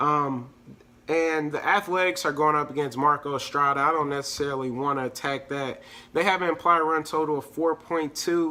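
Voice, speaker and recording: A man's bright, sharp voice, fairly high in pitch, at a moderate pace with fairly even intonation. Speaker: fantasy sports analyst. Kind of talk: casual sports picks breakdown. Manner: casual, filler-heavy with hesitations.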